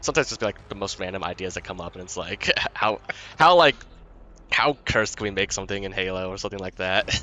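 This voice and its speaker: This man has an American accent and a fairly low pitch. He talks at a very fast pace. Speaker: gaming YouTuber. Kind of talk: on-stage interview. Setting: live esports LAN event. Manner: hesitant, many fillers and repetitions.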